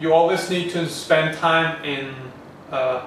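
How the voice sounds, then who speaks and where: Speaking with a non-native accent at a fairly slow pace, a man keeps a fairly high pitch and fairly even intonation, with audible room echo and noticeable background noise. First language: not English. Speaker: online business coach. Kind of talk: training video to camera. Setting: facing the camera.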